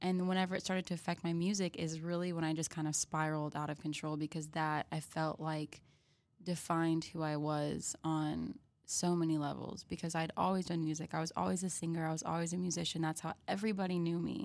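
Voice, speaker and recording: A woman talks in a normal speaking voice at a fairly low pitch and a fairly quick pace, with fairly even intonation and very even loudness. The recording is very clean, with a silent background. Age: 20s. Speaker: singer and music student. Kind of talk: casual chat.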